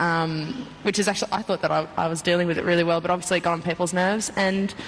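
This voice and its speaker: A woman speaks very fast with an Australian accent, her pitch fairly low and her intonation fairly even. Her loudness stays very even, and there is noticeable background noise. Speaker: reality show contestant. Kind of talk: TV interview.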